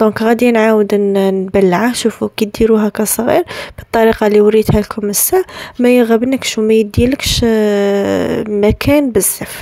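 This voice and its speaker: There is noticeable background noise as a woman speaks at a fairly high pitch with fairly even intonation. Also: moderate pace, very even loudness. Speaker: bride-to-be lifestyle vlogger. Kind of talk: tutorial. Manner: casual, with French words mixed in; halting, frequent restarts.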